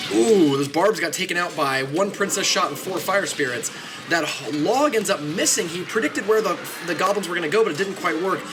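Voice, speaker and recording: Amid audible room echo and noticeable background noise, a man talks fairly quickly in a high voice with lively intonation. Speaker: game streamer and tournament caster. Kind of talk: live game commentary. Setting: home studio apartment, live stream. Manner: fast; animated.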